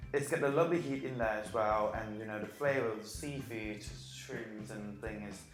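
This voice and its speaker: With music in the background and audible room echo, a man speaks at a moderate pace in a fairly low voice, his intonation lively and his loudness swinging widely. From Thailand. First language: Thai. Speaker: amateur cook, former cooking contestant. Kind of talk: cooking demonstration. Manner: halting.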